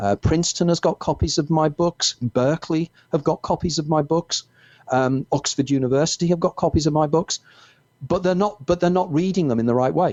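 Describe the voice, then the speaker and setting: Using ordinary pitch variation and very even loudness, a man with a Merseyside accent speaks at a fairly high pitch. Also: fairly quick pace. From northern England, Wirral near Liverpool. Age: 60s. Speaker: author. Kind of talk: interview.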